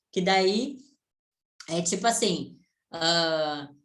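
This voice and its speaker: Room echo is audible in this recording. The woman's intonation is lively. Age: 20s. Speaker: online business mentor. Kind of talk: online mentoring session. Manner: casual, conversational.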